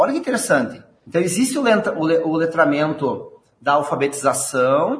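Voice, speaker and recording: A man talks in a Rio Grande do Sul accent. The intonation is lively. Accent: gaúcho. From southern Brazil, Rio Grande do Sul. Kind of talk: interview.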